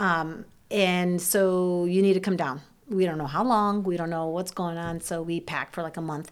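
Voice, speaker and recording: In a Midwestern US accent, a woman with a fairly low voice speaks at a moderate pace with fairly even intonation on a very clean recording with a silent background. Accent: General American, Midwestern. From Ohio, US Midwest. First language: Serbian. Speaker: church member, mother, children's teacher. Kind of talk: personal testimony in interview.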